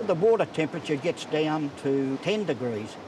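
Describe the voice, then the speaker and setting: Fairly high-pitched man with a strong Australian accent, lively intonation and a moderate pace, over noticeable background noise. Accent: broad Australian. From Australia, New South Wales south coast. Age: 60s. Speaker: swimming club president. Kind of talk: casual interview.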